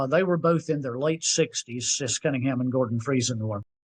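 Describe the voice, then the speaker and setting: Speaking in an American accent, a man uses ordinary pitch variation. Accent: Southern US, milder than in youth. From US South (Tennessee, North Carolina). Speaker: singer-songwriter. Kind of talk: interview storytelling. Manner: conversational.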